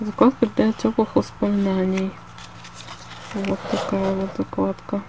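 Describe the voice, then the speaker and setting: Over light background noise, a woman speaks at a very slow pace, the sound dry with no echo. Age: 20s. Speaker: illustrator and artist. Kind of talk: casual talk to camera. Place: home room. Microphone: phone near.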